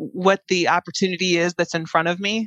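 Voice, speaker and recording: A woman talks at a moderate pace and medium pitch in an unremarkable speaking voice. The sound is dry and close with no echo, over a quiet background. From US Midwest, Chicago area. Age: 40s. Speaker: tech strategist and keynote speaker. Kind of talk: interview conversation.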